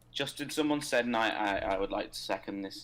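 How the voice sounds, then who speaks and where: Loud and bright with a sharp tone, a man with a British accent talks at a fairly quick pace at medium pitch with ordinary pitch variation, on a very clean recording with a silent background. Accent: regional British. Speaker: co-host of a game livestream. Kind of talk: casual chat.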